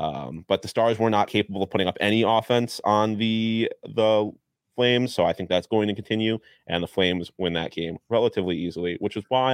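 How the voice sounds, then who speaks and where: Talking at a fairly quick pace, a man uses a normal speaking voice with a fairly low pitch and ordinary pitch variation. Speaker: sports betting podcast co-host. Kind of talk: casual sports betting chat.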